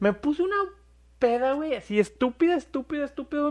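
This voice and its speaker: Lively intonation from a man, dry, close sound with no echo. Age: 30s. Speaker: podcast co-host. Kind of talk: casual chat.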